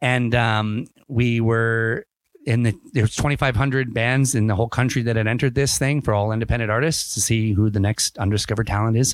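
A man's plain, everyday voice at medium pitch, with a Canadian accent, a fairly quick pace, fairly even intonation and very even loudness. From Ontario, Canada. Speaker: podcast host and band member. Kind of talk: casual chat.

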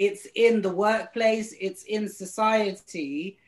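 With a British accent, a woman talks at a very slow pace in a fairly high pitch. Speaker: drag queen. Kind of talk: casual chat.

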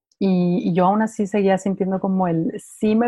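The voice is somewhat breathy, with a dark, mellow tone, fairly even intonation and a fairly slow pace. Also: woman. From Mexico City. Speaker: meditation mentor and channeler. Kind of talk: interview.

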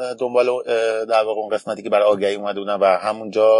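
A man's fairly low voice, dry and close with no echo, against a quiet background. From Iran, Tehran. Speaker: barista champion. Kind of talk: interview.

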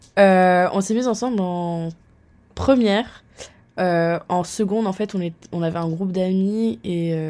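A woman's dark, mellow voice at a very slow pace, with long, frequent pauses and ordinary pitch variation. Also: medium pitch for a woman. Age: 20s. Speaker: marketing student. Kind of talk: casual chat.

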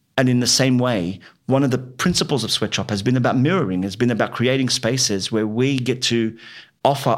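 A man talks fairly quickly at a medium pitch with an Australian accent and ordinary pitch variation. The recording is very clean, with a silent background. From Western Sydney, Australia. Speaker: writer and playwright. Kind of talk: interview. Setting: in-person recording in Fairfield.

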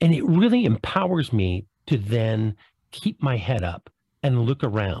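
A man talks at a fairly slow pace and a medium pitch, somewhat breathy. His pitch swings very widely, and the sound is dry and close with no echo. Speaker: podcast host and former chef. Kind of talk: casual chat.

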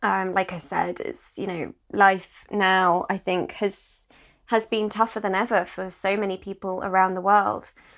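Her pitch is medium, and the woman talks fairly slowly. Nothing sounds in the background of this very clean recording. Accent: British. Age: 30s. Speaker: podcast host. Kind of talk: solo podcast monologue.

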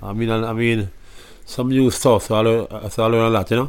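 A man with a normal speaking voice talks at a medium pitch and a middling tempo. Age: 30s. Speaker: musician. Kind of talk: interview. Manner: casual, laughing.

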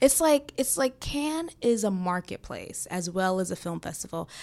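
Delivered at a moderate pace with a New York accent, the voice swings very widely in pitch. The recording is very clean, with a silent background. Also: woman. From New York City. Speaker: filmmaker and actress. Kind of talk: casual chat. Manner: casual, filler-heavy.

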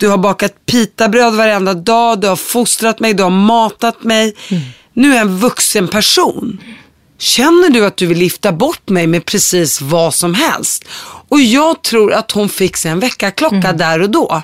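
A woman with an unremarkable speaking voice talks at a fairly slow pace and medium pitch, with lively intonation. The sound is dry and close, with no echo. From Syria, Palestinian roots. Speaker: podcast host. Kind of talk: interview.

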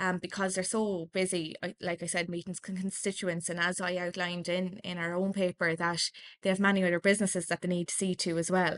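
Speaking in an Irish accent, a woman talks at a fairly quick pace with hardly any pauses, a medium pitch and monotone, flat intonation, in a dry, close sound with no echo over a quiet background. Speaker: political journalist. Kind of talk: casual interview.

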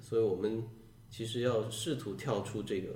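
Room echo is audible around a man with a medium-pitched voice. He speaks somewhat breathily at a fairly slow pace. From Guangdong, Shantou. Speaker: science fiction writer. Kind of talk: podcast conversation.

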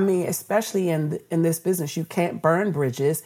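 At a moderate pace, a woman with an American accent speaks in an unremarkable speaking voice, fairly low in pitch with ordinary pitch variation. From Washington D.C. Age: 50s. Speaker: radio executive. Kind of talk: interview.

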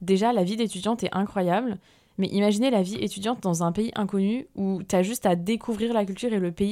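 Against a very clean recording with a silent background, the voice has a dark, mellow tone and fairly even intonation. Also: woman. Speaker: podcast host. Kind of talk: casual monologue. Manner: hesitant, many fillers.

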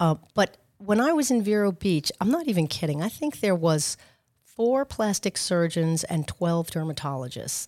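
A woman in a New York accent speaks with very wide pitch swings, on a very clean recording with a silent background and a dry, close sound with no echo. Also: fairly low pitch for a woman, moderate pace. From Long Island, New York. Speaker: med spa owner. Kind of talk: interview.

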